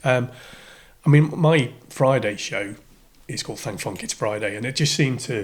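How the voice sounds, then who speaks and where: A man talks at a moderate pace in a medium pitch, somewhat breathy, with ordinary pitch variation and long, frequent pauses. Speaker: radio DJ. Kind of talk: podcast interview answer. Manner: casual, hesitant.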